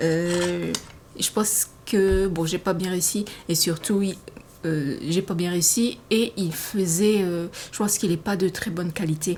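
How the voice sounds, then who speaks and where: Someone speaks at a very slow pace with fairly even intonation. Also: woman, fairly low pitch for a woman. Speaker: sewing hobbyist vlogger. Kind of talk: casual podcast monologue, partly reading notes. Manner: hesitant, many fillers.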